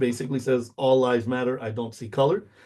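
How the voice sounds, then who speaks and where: Speaking at a very fast pace, a man with a Spanish accent has a medium pitch. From US, Mexican American community. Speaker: university instructor. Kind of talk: lecture. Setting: recorded video lecture. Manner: casual, many fillers.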